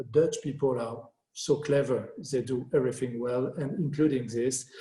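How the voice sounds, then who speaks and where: A man speaks at a moderate pace and medium pitch, his tone dark, mellow and somewhat breathy. His intonation stays fairly even. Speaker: landscape architect. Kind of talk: Q&A after lecture.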